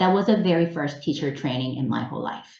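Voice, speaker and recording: Speaking with a Korean accent, a woman's pitch swings very widely, with audible room echo in the recording. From South Korea. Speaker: English teacher trainer. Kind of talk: webinar presentation. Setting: online webinar.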